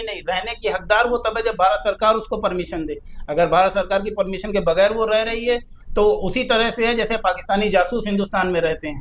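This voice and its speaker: A man speaks at a high pitch. His pace is moderate and his pitch variation ordinary. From Uttar Pradesh, Kanpur. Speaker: lawyer. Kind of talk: interview discussion.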